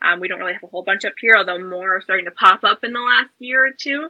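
Here is an unremarkable speaking voice: a woman with an American accent, fairly high pitch and ordinary pitch variation. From US South, South Carolina. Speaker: reptile educator and YouTuber. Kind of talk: casual chat.

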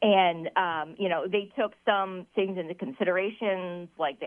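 An unremarkable speaking voice proceeds at a fairly slow pace, its pitch varying in an ordinary way. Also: woman. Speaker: minor league baseball team staff member. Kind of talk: friendly radio interview.

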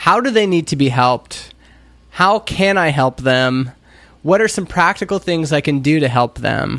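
With a Canadian accent, a man speaks at a moderate pace in a fairly high pitch, an ordinary speaking voice. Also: lively intonation. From Canada, Alberta (Stony Plain). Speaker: indie entrepreneur, startup founder. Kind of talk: casual chat.

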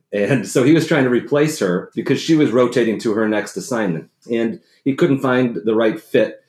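In an American accent, a man with an unremarkable speaking voice talks fairly quickly at a medium pitch. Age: 40s. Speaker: former navy submariner and speechwriter. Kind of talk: interview conversation.

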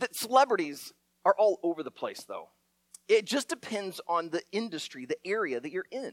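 The voice moves at a moderate pace while the pitch swings very widely. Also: man, high pitch for a man, dry, close sound with no echo. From Iowa, US Midwest. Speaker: pastor. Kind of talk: sermon.

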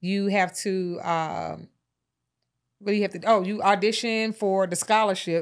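A woman with an American accent at a medium pitch, monotone and flat in intonation, at a fairly slow pace, on a very clean recording with a silent background. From Atlanta, US South. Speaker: lash and brow expert, beauty entrepreneur. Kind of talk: casual interview.

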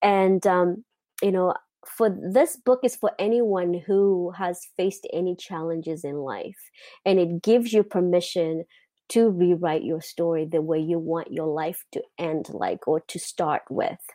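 A woman with a Mozambican accent speaks at a fairly slow pace in a dark, mellow tone, her fairly low pitch showing ordinary variation, recorded dry and close with no echo against a quiet background. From Mozambique. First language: not English. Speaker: lifestyle coach. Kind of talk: interview. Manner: halting.

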